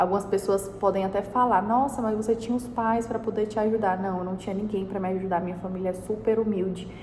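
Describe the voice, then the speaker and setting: A woman talks at a very fast pace with hardly any pauses and monotone, flat intonation. Noticeable background noise and audible room echo surround her. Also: medium pitch for a woman. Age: 20s. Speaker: entrepreneur and vlogger. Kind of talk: personal advice talk to camera. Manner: casual.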